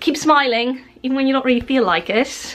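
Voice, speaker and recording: The speaker here is a woman. She talks at a fairly quick pace. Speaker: home vlogger. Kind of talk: casual vlog chat. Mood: cheerful, relaxed. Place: home room. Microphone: phone near.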